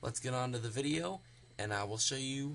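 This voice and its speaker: Soft-spoken, a man talks at a medium pitch with ordinary pitch variation. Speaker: gaming video creator. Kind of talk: tutorial. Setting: home recording, late at night. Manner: quiet, speaking softly; hesitant, many fillers.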